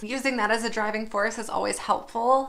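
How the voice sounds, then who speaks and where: Against noticeable background noise, a woman speaks in an animated tone at a high pitch. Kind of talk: casual vlog monologue.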